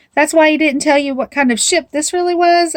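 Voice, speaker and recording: Putting on a squeaky character voice, a woman talks at a fairly quick pace in a high pitch with fairly even intonation. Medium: read story.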